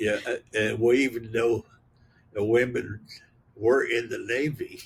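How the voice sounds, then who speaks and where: A man's somewhat breathy voice in a monotone, flat intonation. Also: medium pitch for a man, fairly slow pace. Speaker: retired U.S. Navy chief petty officer, war veteran. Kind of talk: interview answer. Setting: outdoors, back porch with pine cones hitting tin roof.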